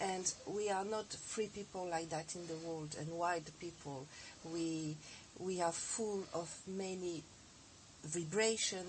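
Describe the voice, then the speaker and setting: Speaking very slowly, a woman uses a fairly low, somewhat breathy voice. Her intonation stays fairly even. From France. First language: French (speaking Russian). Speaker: osteopath and teacher. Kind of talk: TV interview. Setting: TV studio.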